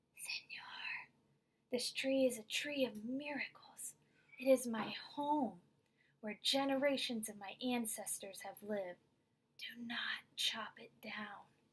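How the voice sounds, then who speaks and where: A woman puts on a character voice, high-pitched and hissing. She goes at a fairly slow pace with long, frequent pauses. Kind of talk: pleading.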